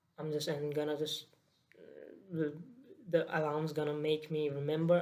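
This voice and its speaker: The speaker has a Nepali accent and keeps a moderate pace. The intonation is monotone and flat. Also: man. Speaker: daily vlogger. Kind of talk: casual vlog monologue. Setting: at home, laptop on lap. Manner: halting, many fillers.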